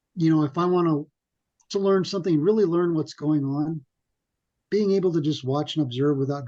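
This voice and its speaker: Soft-spoken mumbling from a man at a fairly quick pace and fairly high pitch, with a dark, mellow tone and ordinary pitch variation, over a quiet background. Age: 50s. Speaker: web developer, podcast guest. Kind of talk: casual interview chat. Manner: quiet, soft-spoken; people think he mumbles.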